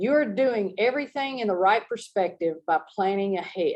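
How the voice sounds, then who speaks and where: A woman with a normal speaking voice, fairly high in pitch, at a fairly slow pace with lively intonation. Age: 60s. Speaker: motivational coach. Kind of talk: motivational talk.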